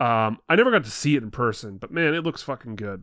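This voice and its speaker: Here a man speaks at a very fast pace. His voice is medium in pitch, with ordinary pitch variation. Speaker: podcast host guest. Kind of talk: casual chat. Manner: jokey, laughs often.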